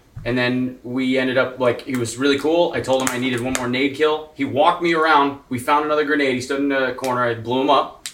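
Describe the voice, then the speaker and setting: A man speaks at a very fast pace with hardly any pauses, his pitch medium and his intonation flat and monotone. Noticeable background noise runs under the clip. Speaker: gaming streamer. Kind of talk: casual group chat.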